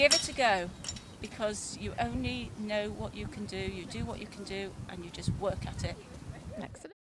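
Over loud background noise, a woman speaks at a moderate pace. The sound is dry, with no echo. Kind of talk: interview answer. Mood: cheerful, enthusiastic. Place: open country.

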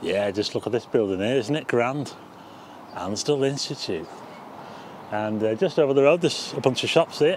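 A man is speaking, and the sound is dry with no echo. Noticeable background noise runs underneath. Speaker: walking tour vlogger. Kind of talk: casual vlog commentary. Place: street. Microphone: phone near.

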